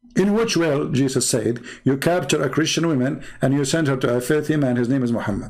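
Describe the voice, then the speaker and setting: A fairly high-pitched male voice at a fairly quick pace, ordinary pitch variation and audible room echo. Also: long, frequent pauses, very even loudness. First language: not English. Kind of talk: commentary monologue responding to viewer comments. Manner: animated.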